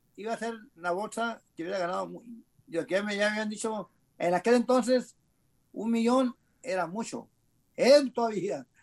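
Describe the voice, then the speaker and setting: Against a quiet background, a man with a high pitch speaks with long, frequent pauses. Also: ordinary pitch variation, moderate pace. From Mexicali, Baja California, Mexico. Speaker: retired boxer. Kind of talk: casual interview, life story. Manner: halting, repetitive.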